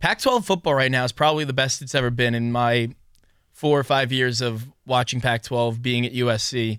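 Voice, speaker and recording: A man with an American accent and an unremarkable speaking voice talks at a medium pitch and a fairly quick pace, with fairly even intonation. The recording is very clean, with a silent background. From New York. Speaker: sports podcast host. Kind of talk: casual sports talk.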